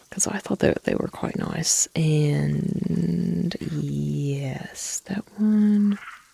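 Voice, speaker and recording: Very slow speech in an American accent, dry and close with no echo, over noticeable background noise. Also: woman. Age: middle-aged. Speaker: gaming streamer. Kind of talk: relaxed gameplay commentary. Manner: slow, easygoing.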